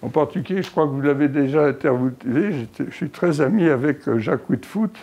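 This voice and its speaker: A man's voice, dark and mellow in tone. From Egypt, Suez Canal zone (French family). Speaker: oral history interviewee. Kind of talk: oral history interview. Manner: halting, many hesitations.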